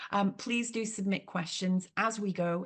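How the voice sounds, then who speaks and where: A woman speaks at a moderate pace, her voice somewhat breathy and her intonation fairly even. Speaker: charity chief executive. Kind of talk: webinar introduction. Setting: video call webinar. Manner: frequent fillers.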